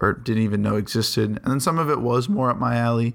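Fairly even intonation marks this man's speech. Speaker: podcast host, music reviewer. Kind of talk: solo podcast album review. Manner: casual, thinking out loud.

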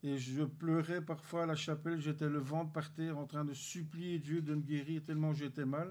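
A fairly high-pitched male voice in a monotone, flat intonation. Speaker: church member giving testimony. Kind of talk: testimony.

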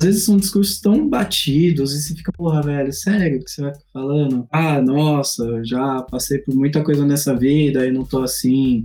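This man's voice sits fairly high, with ordinary pitch variation and a moderate pace. The tone is dark and mellow, somewhat breathy. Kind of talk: casual chat. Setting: online voice chat.

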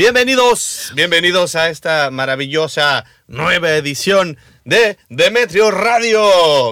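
The tone is bright and sharp. Pitch swings very widely throughout. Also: man. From rural Mexico. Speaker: radio host. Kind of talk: casual chat.

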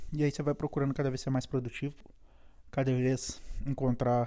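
A man's medium-pitched, dark, mellow voice with a Brazilian accent, very fast pace and monotone, flat intonation. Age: 40s. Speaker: immigrant podcaster. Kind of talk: solo podcast monologue. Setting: at home. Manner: casual, hesitant with fillers.

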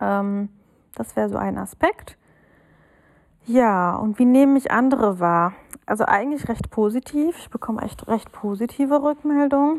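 In a normal speaking voice, a woman talks at a fairly slow pace and a fairly high pitch, with lively intonation and big swings in loudness. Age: 30s. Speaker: listener sending a voice message. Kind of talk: recorded voice message. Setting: self-recorded audio message.

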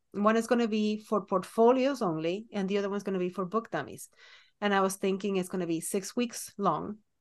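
A woman uses a normal speaking voice at a fairly quick pace. Her pitch variation is ordinary. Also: medium pitch for a woman, quiet background. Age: 40s. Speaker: children's book illustrator and podcast co-host. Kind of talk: casual chat.

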